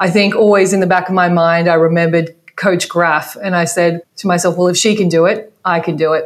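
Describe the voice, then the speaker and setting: A woman with an Australian accent talks at a fairly quick pace with hardly any pauses. Her pitch is fairly low, her loudness very even and her intonation monotone and flat. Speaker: basketball coach. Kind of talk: interview.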